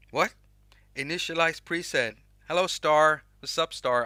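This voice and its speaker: A man's bright, sharp tone with ordinary pitch variation, in a very clean recording with a silent background. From Sweden. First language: Swedish. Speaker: music app YouTuber. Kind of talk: live stream tutorial chat. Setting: live stream with chat. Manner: casual, halting with restarts.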